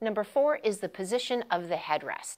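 A woman at a moderate pace, her pitch swinging very widely against a quiet background. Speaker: posture instructor. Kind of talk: tutorial. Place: studio. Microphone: lapel.

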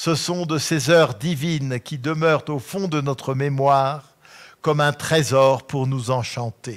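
A very slow delivery with fairly even intonation over a quiet background. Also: man, fairly high pitch for a man. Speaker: lecturer. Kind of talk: lecture with literary reading aloud. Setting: auditorium with live audience. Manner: formal, measured; expressive, slow audiobook-like delivery when reading. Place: hall.

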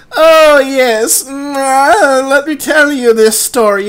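Cackling in a fairly high, put-on character voice fills the clip. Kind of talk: over-the-top spooky story narration, comic overacting. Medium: comedy sketch. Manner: theatrical, drawn-out ominous "oh, yes" asides; cackling, mock-sinister.

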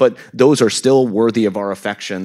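A man talks at a fairly quick pace in a dark, mellow tone with a Midwestern American accent. His pitch varies in an ordinary way over a quiet background. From US Midwest, Kansas City, Missouri. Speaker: education researcher and author. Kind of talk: panel discussion. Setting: stage with live audience. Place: stage. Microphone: handheld.

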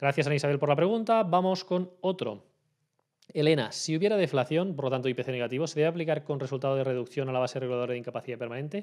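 At a very fast pace, a man talks in a fairly high pitch. Pitch variation is ordinary, and the background is quiet. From Spain. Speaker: labour and social security lawyer; social security lawyer. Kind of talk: Q&A video answering viewer questions. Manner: hesitant with frequent fillers. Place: home room. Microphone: studio mic.

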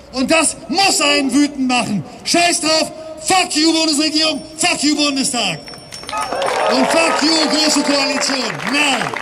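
In a raised, projected voice, a man speaks at an extremely high pitch and a very slow pace, with fairly even intonation, long, frequent pauses, and crowd noise in the background. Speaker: climate activist speaker. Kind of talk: protest rally speech. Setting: outdoors at demonstration. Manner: emotional, passionate. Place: street.

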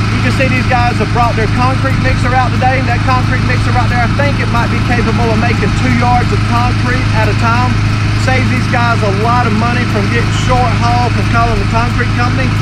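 Male speech at a fairly quick pace, dry with no echo, over loud background noise. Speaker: presenter. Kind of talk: tutorial. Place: open country.

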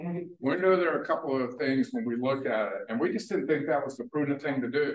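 Through audible room echo, a man talks at a fairly quick pace with very wide pitch swings. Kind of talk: presentation talk. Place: hall. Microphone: camera far.

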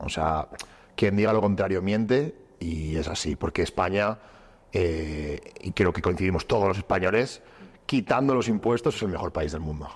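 With lively intonation, a man talks at a moderate pace in a very deep, low voice. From Spain. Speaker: entrepreneur. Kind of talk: casual chat. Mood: opinionated, emphatic. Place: gym. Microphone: lapel.

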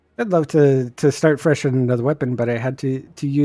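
Someone reads aloud plainly.

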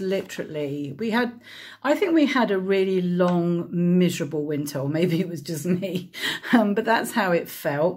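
The woman speaks at a moderate pace over a quiet background. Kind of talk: casual vlog chat. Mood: chatty, mildly frustrated. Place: kitchen. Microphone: phone near.

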